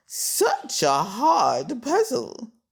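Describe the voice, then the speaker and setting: Pitched on the high side, the voice is a put-on character performance. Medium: read story.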